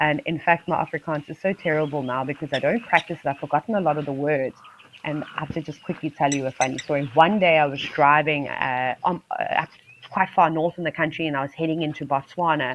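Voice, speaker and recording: Over noticeable background noise, a woman with a very deep, low voice speaks at a fairly quick pace with fairly even intonation. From South Africa, Eastern Cape. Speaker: wildlife safari live-stream presenter. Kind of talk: live wildlife commentary. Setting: live stream. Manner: chatty, conversational.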